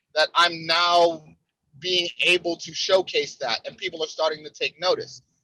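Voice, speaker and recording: A man talks with an American accent in a bright, sharp tone. The sound is dry and close, with no echo. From Cleveland, Ohio, US Midwest. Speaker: pro wrestler. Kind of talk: interview. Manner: repeats words, halting at times.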